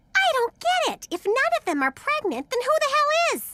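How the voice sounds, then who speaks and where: Putting on a character voice, a woman squeaks at an extremely high pitch with very wide pitch swings and big swings in loudness, keeping a moderate pace. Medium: cartoon. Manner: brash, loud.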